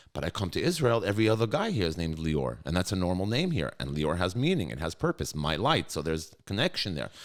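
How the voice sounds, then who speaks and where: A man with an American accent speaks at a very fast pace. His pitch swings very widely, with vocal fry. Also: very clean recording, silent background. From New York (Brooklyn), US. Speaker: school executive. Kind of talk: podcast interview. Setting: studio. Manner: animated.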